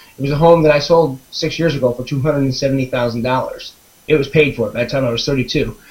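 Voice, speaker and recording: The speech is very fast with fairly even intonation, and there is noticeable background noise. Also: man. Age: 40s. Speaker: webinar participant telling his story. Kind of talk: personal testimony. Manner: halting, many fillers and restarts.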